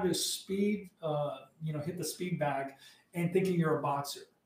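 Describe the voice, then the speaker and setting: A man's high-pitched voice at a moderate pace. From US Southwest, Arizona border. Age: 50s. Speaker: combatives instructor. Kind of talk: casual interview.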